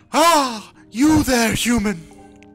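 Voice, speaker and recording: A fairly high put-on character voice plays over faint music in the background. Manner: commanding, haughty.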